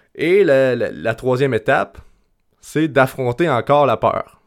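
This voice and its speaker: A man with a Quebec accent, medium pitch and lively intonation, on a very clean recording with a silent background. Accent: Québécois French. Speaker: podcast host and life coach. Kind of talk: solo podcast monologue. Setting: at home. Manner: halting, with repetitions.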